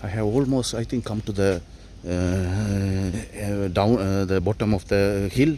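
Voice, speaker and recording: Fairly low in pitch, a man's dark, mellow voice moves at a fairly slow pace with fairly even intonation. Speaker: travel vlogger. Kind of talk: walking travel vlog narration. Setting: outdoors at hillside temple. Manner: halting, many fillers and restarts.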